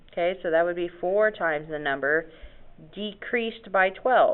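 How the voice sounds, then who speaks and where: A woman at medium pitch and a moderate pace, with ordinary pitch variation. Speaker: math teacher. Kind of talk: lecture.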